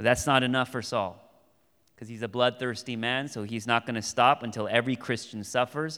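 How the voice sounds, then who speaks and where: A man speaks in a plain, everyday voice at a medium pitch and fairly quick pace. His intonation is fairly even on a very clean recording with a silent background. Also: big swings in loudness. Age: 30s. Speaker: pastor. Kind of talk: sermon. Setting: church.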